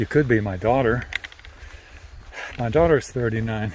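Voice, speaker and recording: A man's medium-pitched, moderate-paced speech with ordinary pitch variation over noticeable background noise. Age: 70s. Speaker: long-distance hiker and vlogger. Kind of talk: casual vlog chat. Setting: outdoors on a hiking trail.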